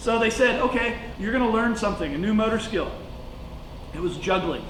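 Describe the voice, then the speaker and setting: Against noticeable background noise and audible room echo, a man talks at a fairly quick pace in a high pitch for a man. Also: ordinary pitch variation. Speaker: teacher. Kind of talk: lecture. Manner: fast; casual, halting with fillers.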